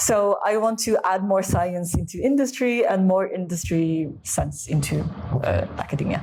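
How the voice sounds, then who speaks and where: With music in the background, a woman speaks in an American accent with lively intonation at a very even loudness. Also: medium pitch for a woman, fairly slow pace. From USA. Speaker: food scientist, wine expert. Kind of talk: interview answer. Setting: low-quality recording.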